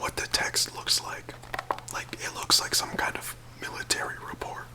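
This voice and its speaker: Someone whispers over noticeable background noise. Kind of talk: casual commentary on the book and its illustrations. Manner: soft-spoken, whispering.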